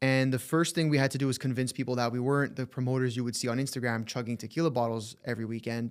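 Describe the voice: Recorded very cleanly against a silent background, a man speaks at a fast pace. His pitch is medium and his intonation fairly even.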